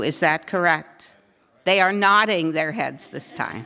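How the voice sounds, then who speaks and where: A woman speaks with a fairly low pitch, vocal fry, and ordinary pitch variation in a bright, sharp tone. The recording is very clean, with a silent background. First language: not English. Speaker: advocacy group organizer. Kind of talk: forum speech to audience. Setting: room with live audience.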